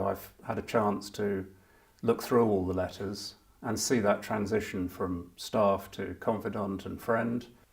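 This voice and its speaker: Music plays in the background as a man speaks at a fairly slow pace, his fairly low pitch delivered in a monotone, flat intonation. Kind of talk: interview recollection.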